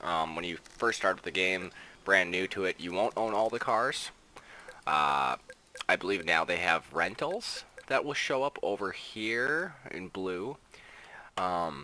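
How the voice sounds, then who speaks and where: Very deep, low male pitch with lively intonation, a fairly slow pace, long, frequent pauses and noticeable background noise. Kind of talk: casual gameplay review. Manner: casual, many filler words.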